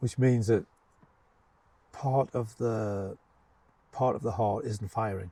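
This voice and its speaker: This man's voice sits at a medium pitch with a dark, mellow tone. His intonation stays fairly even. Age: 70s. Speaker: retired headteacher. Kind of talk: casual interview. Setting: outdoors in a garden. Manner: halting, many fillers and repeats.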